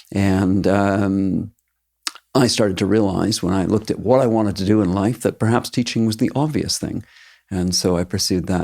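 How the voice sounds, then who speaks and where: Recorded very cleanly over a silent background, the speaker has a Maritime Canadian accent, a moderate pace and ordinary pitch variation. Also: man. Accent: Canadian (Maritimes). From eastern Canada, Halifax, Nova Scotia. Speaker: teacher. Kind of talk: interview.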